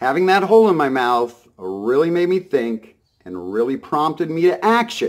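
A man's voice with very wide pitch swings, fairly slow, over a quiet background. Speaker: vlogger. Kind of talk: casual vlog monologue. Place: home room. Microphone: phone near.

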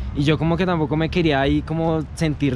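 Animated in tone, a man talks at a very fast pace in a dry recording with no echo and light background noise. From Colombia, Soacha (Bogotá area). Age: 20s. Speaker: vlogger. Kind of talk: casual vlog. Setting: outdoors. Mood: joking, slangy, relaxed. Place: forest. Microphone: phone near.

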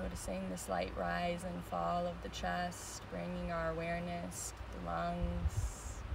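Soft-spoken and calm in a soothing tone, a woman with a very deep, low pitch talks very slowly with hardly any pauses amid noticeable background noise. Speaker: meditation teacher. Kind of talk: guided meditation. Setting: outdoors on a beach, live stream. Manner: slow, soothing, gentle; calm, soft-spoken, with pauses. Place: beach. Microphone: phone near.

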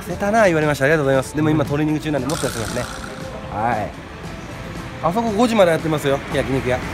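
Clear music plays behind a man talking at a very fast pace. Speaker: street vlogger. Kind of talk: casual street vlog talk to camera. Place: street. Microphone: phone near.

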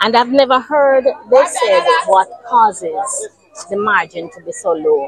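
A woman speaks very slowly in a high voice, her pitch swinging very widely. The sound is dry with no echo, and crowd noise fills the background. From Jamaica. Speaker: local politician. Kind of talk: interview. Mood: upset, aggrieved. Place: street.

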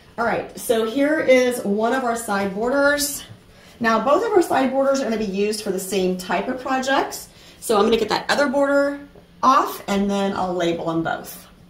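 A woman at a moderate pace, with audible room echo. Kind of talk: tutorial. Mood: calm, reassuring. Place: home room.

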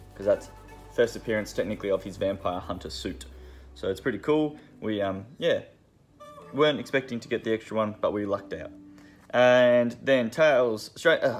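With faint music in the background, a man speaks at a moderate pace with long, frequent pauses and big swings in loudness. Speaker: comic shop staff. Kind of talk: casual product rundown. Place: shop. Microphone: phone near.

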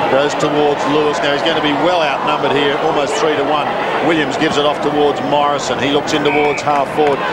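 A man talks at a very fast pace. Loud background noise fills the recording. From Australia. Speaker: play-by-play commentator. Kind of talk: live sports commentary of an Australian rules football match.

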